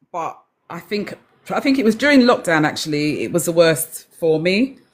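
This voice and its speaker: A woman speaks in an English accent with a fairly low pitch. Her pitch swings very widely at a moderate pace. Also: big swings in loudness. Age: 60s. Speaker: live-stream participant sharing menopause experience. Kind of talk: personal testimony. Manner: halting.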